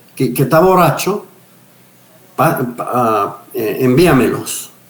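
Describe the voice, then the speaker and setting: A man speaks very slowly at medium pitch with ordinary pitch variation. Room echo is audible. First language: English (speaking Spanish). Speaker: pastor, missionary and retired police officer. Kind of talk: interview testimony. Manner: halting with repetitions.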